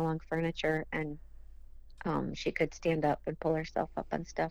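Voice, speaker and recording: With an Upper Midwest accent, a woman speaks at a moderate pace in a very deep, low pitch and a monotone, flat intonation. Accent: Upper Midwest (Minnesota). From southern Minnesota. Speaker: bereaved mother. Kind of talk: testimony.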